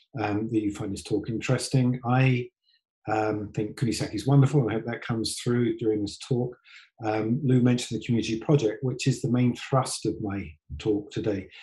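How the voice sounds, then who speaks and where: With a British accent, a man speaks in a dark, mellow, somewhat breathy voice at a medium pitch, fairly quick pace and fairly even intonation. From UK. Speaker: tour company executive. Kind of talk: online presentation talk. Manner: halting, many ums and restarts.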